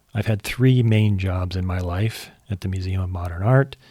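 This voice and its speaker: Speaking with an American accent, a man uses a fairly low pitch and fairly even intonation at a moderate pace, his voice somewhat breathy. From California, US (San Jose). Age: 60s. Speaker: podcast host. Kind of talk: scripted monologue introduction.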